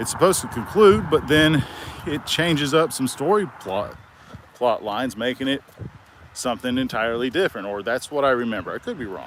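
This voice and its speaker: Over noticeable background noise, a man with a medium pitch talks at a fairly quick pace. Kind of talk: casual talk to camera while walking. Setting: outdoors. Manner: halting, with stutters and pauses.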